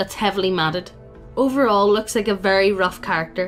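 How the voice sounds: This is a natural reading voice. The words come out in a natural reading voice.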